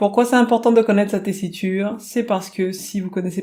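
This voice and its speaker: A woman's dark, mellow tone with ordinary pitch variation at a moderate pace. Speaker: singing teacher. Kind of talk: tutorial.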